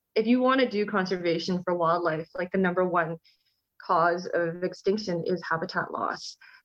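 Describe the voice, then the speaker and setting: A woman talks in a plain, everyday voice with a Canadian accent. Her pitch is medium, with ordinary variation. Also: moderate pace. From Canada. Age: 30s. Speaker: conservationist and wildlife photographer. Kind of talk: casual interview conversation.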